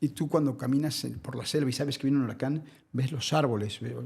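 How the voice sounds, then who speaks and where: A man speaks fairly quickly at a fairly high pitch. His tone is dark and mellow, and somewhat breathy. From Mexico, Naucalpan. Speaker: environmental activist. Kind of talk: interview.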